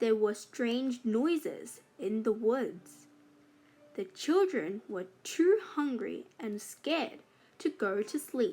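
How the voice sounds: A woman speaks slowly in a dark, mellow tone with a fairly high pitch. Her intonation is lively.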